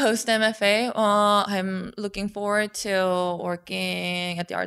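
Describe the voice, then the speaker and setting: A woman with a Korean accent. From South Korea. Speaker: painter. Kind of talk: casual interview. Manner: halting.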